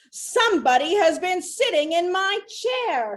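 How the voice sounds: Putting on a gruff character voice, a woman speaks at an extremely high pitch and a fairly slow pace.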